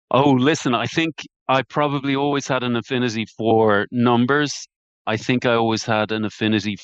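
At a medium pitch, a man talks with fairly even intonation. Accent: Irish. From Ireland. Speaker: private debt investment partner. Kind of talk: interview.

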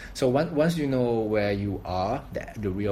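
A man with a Thai accent, fairly low pitch, ordinary pitch variation, a moderate pace and audible room echo. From Thailand. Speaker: coconut water business founder. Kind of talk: casual interview.

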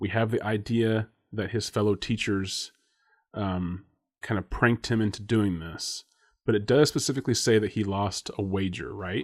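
Speaking at a moderate pace with fairly even intonation and fairly low pitch, a man has an ordinary speaking voice, captured in a very clean recording with a silent background. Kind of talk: casual chat.

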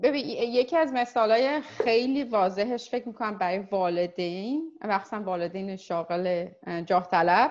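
Speaking fairly slowly in a normal speaking voice, a woman uses lively intonation at a fairly high pitch. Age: 40s. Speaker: insurance professional. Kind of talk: casual chat.

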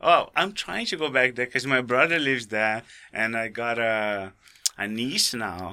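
A man with a Brazilian accent, a bright, sharp tone, ordinary pitch variation and a fairly slow pace. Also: medium pitch for a man. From Brazil (raised in Rio de Janeiro). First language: Portuguese. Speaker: skydiving tandem instructor. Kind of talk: casual interview.

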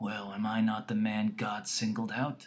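A man puts on a character voice that is raspy. His pitch sits fairly low. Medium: read story. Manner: loud.

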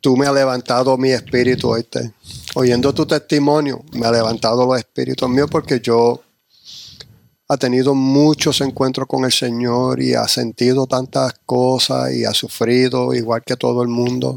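Recorded with a dry, close sound and no echo, a man speaks at a fairly slow pace with a medium pitch, monotone, flat intonation, and very even loudness. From New York / New Jersey. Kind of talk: casual chat. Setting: church.

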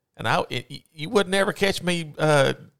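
A man speaks with a high-pitched voice. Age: 40s. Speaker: podcast co-host. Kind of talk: casual chat. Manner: hesitant with fillers.

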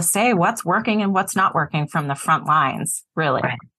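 An ordinary speaking voice moves at a moderate pace over a quiet background. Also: woman. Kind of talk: moderated panel conversation.

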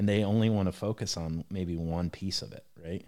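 A man with a Midwestern US accent speaks in a dark, mellow tone in a very clean recording with a silent background. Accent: US Midwest. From Ohio, US Midwest. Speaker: manufacturing business leader. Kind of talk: casual interview.

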